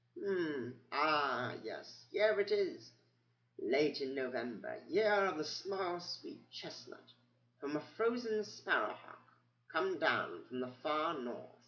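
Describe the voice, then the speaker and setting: A man's squeaky, high-pitched put-on character voice at a fairly slow pace. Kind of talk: bedtime story. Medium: read story. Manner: rambling, hesitant, muttering.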